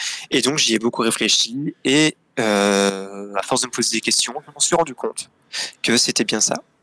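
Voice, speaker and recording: At a fairly slow pace, a man with a medium pitch and ordinary pitch variation speaks in a bright, sharp tone, recorded dry and close with no echo. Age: 20s. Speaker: guest telling coming-out story. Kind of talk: personal testimony in interview. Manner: hesitant, many fillers.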